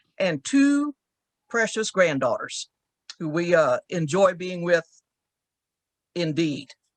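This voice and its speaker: Speaking very slowly with long, frequent pauses, a woman with a Southern US accent and a fairly low pitch makes very wide pitch swings, recorded with a dry, close sound and no echo. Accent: Southern drawl. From rural Texas. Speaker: church women's league leader. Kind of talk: interview.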